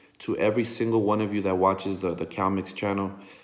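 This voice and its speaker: Very deep and low in pitch, a man speaks in a flat monotone while audible room echo surrounds his voice. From National City, San Diego area, California. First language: Spanish. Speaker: Chicano rapper. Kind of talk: casual monologue to camera. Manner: halting, many fillers.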